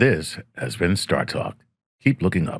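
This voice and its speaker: Using a put-on character voice, a man speaks at a fairly low pitch and a fairly slow pace. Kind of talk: smooth, polished.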